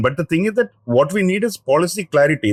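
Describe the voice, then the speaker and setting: In a high pitch and at a very fast pace, a man with a South Indian accent speaks with lively intonation, the sound dry and close with no echo. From Kerala, South India. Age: 50s. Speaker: senior journalist. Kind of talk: interview. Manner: halting.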